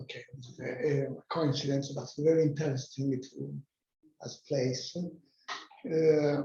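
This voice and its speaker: A man with an Italian accent, fairly high-pitched, somewhat breathy, with a dark, mellow tone, big swings in loudness, a monotone, flat delivery and a very slow pace. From Italy, near Rome (Tivoli). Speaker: workshop participant, digital heritage company representative. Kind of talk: self-introduction presentation at workshop. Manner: halting, many hesitations.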